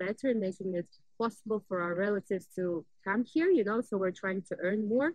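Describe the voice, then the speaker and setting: A woman with a Russian accent speaks at a fairly high pitch with ordinary pitch variation. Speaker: vlogger. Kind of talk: casual vlog talk. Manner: animated.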